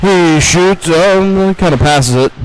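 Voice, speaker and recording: A high-pitched man's voice amid noticeable background noise. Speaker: play-by-play hockey commentator. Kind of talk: live sports commentary. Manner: fast.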